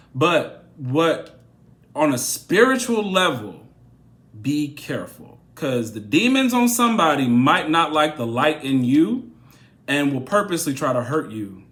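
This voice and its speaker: This man's pitch swings very widely, and room echo is audible. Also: fairly high pitch for a man, fairly slow pace. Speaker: tarot reader. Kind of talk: tarot reading monologue.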